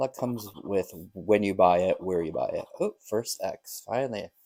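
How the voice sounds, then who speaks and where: Mumbling in a dark, mellow tone, a man talks at a fairly low pitch. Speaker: lottery scratch-off youtuber. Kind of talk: casual vlog commentary. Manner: tends to mumble.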